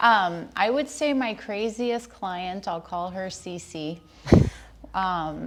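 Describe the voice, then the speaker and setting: With an American accent, a woman speaks at a very slow pace in a medium pitch, her intonation lively. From Southern California, San Dimas. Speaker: realtor. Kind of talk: interview storytelling.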